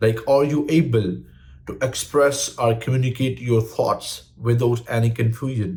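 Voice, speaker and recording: At a fairly slow pace, a man with a non-native accent speaks in a somewhat breathy voice of medium pitch and ordinary pitch variation. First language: not English. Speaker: English learning YouTuber. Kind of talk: tutorial.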